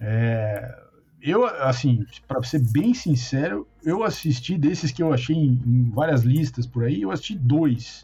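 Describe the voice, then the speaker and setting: A man speaks at a very slow pace with lively intonation. His pitch is medium, and music plays in the background. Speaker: podcast host. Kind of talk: casual chat.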